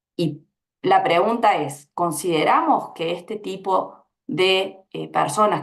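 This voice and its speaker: A woman's fairly low pitch with vocal fry. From Argentina. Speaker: labor researcher, panelist. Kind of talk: panel discussion.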